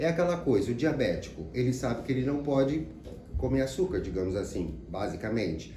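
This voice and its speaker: A man at a fairly quick pace with very wide pitch swings, amid audible room echo and noticeable background noise. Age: 60s. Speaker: psychologist. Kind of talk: sales pitch. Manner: casual, conversational.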